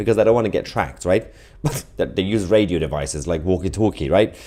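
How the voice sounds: A man at a fairly quick pace with a slightly mellow tone.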